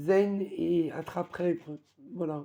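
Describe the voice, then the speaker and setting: A woman with a dark, mellow tone speaks at a very slow pace, fairly low in pitch with ordinary pitch variation. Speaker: crafts hobby vlogger. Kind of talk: casual show-and-tell vlog. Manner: hesitant, many fillers.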